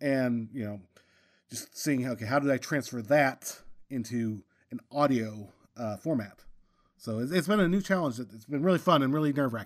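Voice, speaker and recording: Recorded very cleanly with a silent background, a man with a plain, everyday voice speaks at a moderate pace, medium in pitch with lively intonation. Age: 40s. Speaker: audio drama director and sound mixer. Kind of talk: casual chat.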